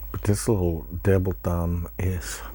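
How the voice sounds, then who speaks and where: A man is soft-spoken. He talks at a very slow pace. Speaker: pipe smoking YouTuber. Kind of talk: casual chat.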